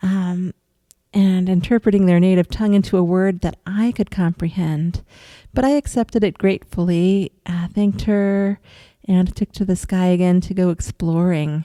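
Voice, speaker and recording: A woman with a dark, mellow tone speaks in fairly even intonation, the sound dry and close with no echo. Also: medium pitch for a woman, moderate pace. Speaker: astral projection vlogger. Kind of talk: first-person experience narration. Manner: hesitant, many fillers.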